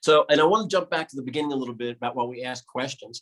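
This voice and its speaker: Speaking at a very fast pace, a man has a New York accent. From New York City. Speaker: pediatric intensive care doctor. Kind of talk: presentation.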